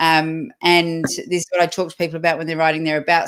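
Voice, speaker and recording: This woman has an unremarkable speaking voice with a fairly low pitch. She talks at a fairly quick pace. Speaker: live interview host and recruiter. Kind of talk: live interview. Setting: livestream.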